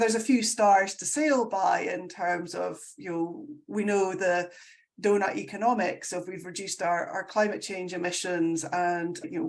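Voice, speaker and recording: With a Scottish accent, a woman talks at a moderate pace in a medium pitch and with lively intonation. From Scotland. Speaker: sustainability consultant. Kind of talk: casual chat. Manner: animated.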